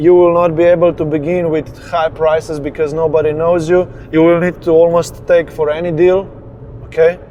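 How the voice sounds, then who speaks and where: Noticeable background noise surrounds this recording. A man speaks in a high pitch with monotone, flat intonation. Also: moderate pace. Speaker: business coach. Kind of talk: motivational talk while driving. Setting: in a car.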